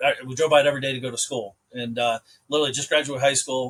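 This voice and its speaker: A medium-pitched man with an American accent in a flat monotone at a very fast pace. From US Midwest, rural Ohio. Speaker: entrepreneur. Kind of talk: podcast interview. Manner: casual, conversational.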